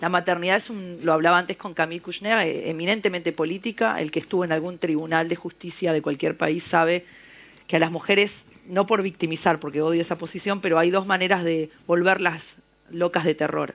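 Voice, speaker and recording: Speaking at a fairly quick pace with an Argentine accent, a woman has a fairly low pitch with ordinary variation. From Argentina, Buenos Aires. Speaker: novelist. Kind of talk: panel discussion. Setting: literary festival panel in a library.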